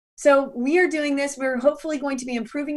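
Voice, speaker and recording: Speaking with an American accent, a woman sounds animated. She talks at a very fast pace. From US South. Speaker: business consultant and conference speaker. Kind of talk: workshop presentation.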